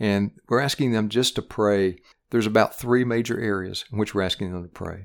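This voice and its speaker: Speaking with a Tennessee accent at a fairly quick pace, this voice keeps a fairly even intonation on a very clean recording with a silent background. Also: man. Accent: Southern US (Tennessee). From East Tennessee, US South. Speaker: regional Baptist missions director. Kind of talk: interview on church ministry.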